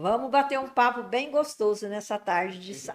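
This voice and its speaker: Here a woman speaks at a high pitch. Her voice swings very widely in pitch. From Brazil, Morro Agudo, São Paulo state. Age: 60s. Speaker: special education school director. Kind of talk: interview.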